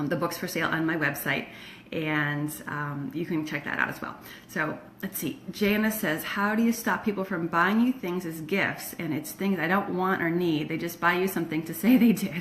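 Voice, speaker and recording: Over noticeable background noise, a woman speaks at a moderate pace with a fairly low pitch. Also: ordinary pitch variation. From Florida by way of Michigan. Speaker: decluttering coach. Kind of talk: live stream Q&A. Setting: Facebook live video. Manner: casual, many fillers.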